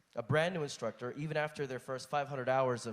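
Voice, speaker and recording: A man talks at a medium pitch. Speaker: flight instructor asking a question. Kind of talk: audience question at conference panel. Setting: conference hall. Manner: reading from notes.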